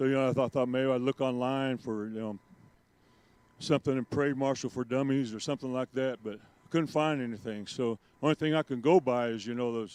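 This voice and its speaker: Speaking in an unremarkable speaking voice, a man with an American accent moves at a fairly quick pace with fairly even intonation against a quiet background. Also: medium pitch for a man. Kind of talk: public speech.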